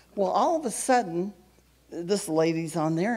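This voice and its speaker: Noticeable background noise is audible. Over it comes a woman's voice. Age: 70s. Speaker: ministry member giving testimony. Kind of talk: testimony. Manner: halting.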